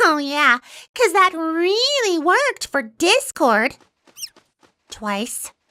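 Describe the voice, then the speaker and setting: A cartoonish character voice, female-sounding and extremely high in pitch, with very wide pitch swings, a very slow pace and long, frequent pauses. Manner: excitable.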